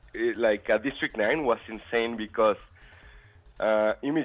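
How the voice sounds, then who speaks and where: With music in the background, a man speaks at a fairly slow pace. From Mexico. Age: 20s. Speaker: director and motion designer. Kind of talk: casual chat.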